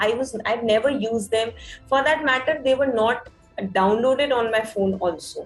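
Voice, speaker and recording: Music plays in the background as a woman speaks at a fairly high pitch. Her loudness stays very even, with ordinary pitch variation. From Udaipur, Rajasthan, India. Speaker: podcaster. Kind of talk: interview answer.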